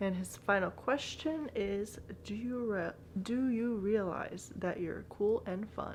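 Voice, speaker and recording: A woman speaks with a slight Bulgarian accent. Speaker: vlogger. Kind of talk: casual Q&A vlog.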